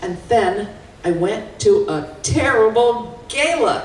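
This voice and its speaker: A woman at a medium pitch swings her voice very widely up and down, with noticeable background noise behind her. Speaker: fundraiser, keynote speaker and auctioneer. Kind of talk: keynote talk. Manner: energetic.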